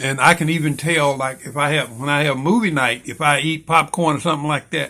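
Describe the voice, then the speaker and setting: Fairly high in pitch with a bright, sharp tone, a man talks at a fairly quick pace with fairly even intonation. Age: 70s. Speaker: vlogger sharing health experience. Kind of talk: casual monologue to camera. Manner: halting, with many fillers.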